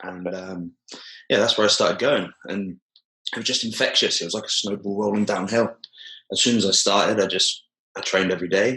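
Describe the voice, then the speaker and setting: A man with a British accent, fairly low in pitch and bright, sharp in tone, at a fairly quick pace with fairly even intonation and long, frequent pauses. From southern England, Poole/Bournemouth. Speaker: jiu-jitsu coach. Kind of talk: podcast interview. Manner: hesitant, many fillers.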